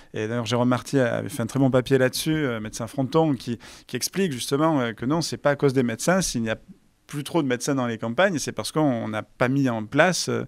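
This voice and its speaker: A plain, everyday voice at a fairly quick pace with ordinary pitch variation, on a very clean recording with a silent background. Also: man. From France, Var (Provence). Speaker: interviewer. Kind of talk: political interview.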